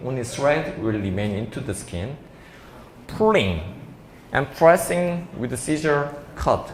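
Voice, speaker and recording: A man with a Korean accent speaks at a very slow pace and a medium pitch. His pitch swings very widely, and room echo is audible. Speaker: doctor giving a seminar lecture. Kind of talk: lecture. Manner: halting.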